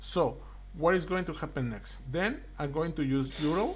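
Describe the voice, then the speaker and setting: Speaking fairly slowly, a man's voice carries audible echo from the room. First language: not English. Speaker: card game content creator. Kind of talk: tutorial. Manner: halting.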